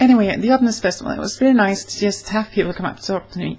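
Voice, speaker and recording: A somewhat breathy woman's voice with fairly even intonation. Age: 20s. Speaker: vlogger. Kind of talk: casual vlog monologue. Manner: halting, many fillers. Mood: warm, earnest. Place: home room. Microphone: webcam.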